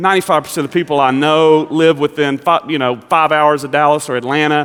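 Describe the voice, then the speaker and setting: Very fast, flat, monotone delivery in a Southern US accent. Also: man, fairly high pitch for a man. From Kentucky. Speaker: pastor. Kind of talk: sermon.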